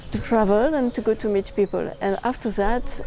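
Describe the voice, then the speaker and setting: A woman speaks with a French accent over noticeable background noise. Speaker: documentary filmmaker. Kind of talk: interview. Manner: halting.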